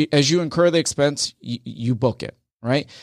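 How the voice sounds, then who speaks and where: The speaker has an American accent and talks at a moderate pace with ordinary pitch variation. The recording is very clean, with a silent background. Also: man. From Rochester, New York. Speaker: accountant and audit partner. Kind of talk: radio interview.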